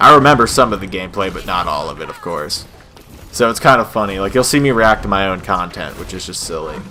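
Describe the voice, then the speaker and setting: Noticeable background noise sits behind the speaker. A man with a fairly low pitch talks at a very fast pace. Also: lively intonation, big swings in loudness. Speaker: gaming youtuber. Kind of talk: gameplay commentary. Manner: animated; casual.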